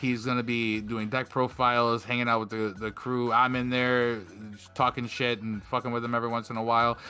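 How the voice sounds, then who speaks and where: Over music in the background, a man speaks at a fairly quick pace with a medium pitch and monotone, flat intonation. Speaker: podcast host. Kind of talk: casual chat. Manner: stumbling over words; casual.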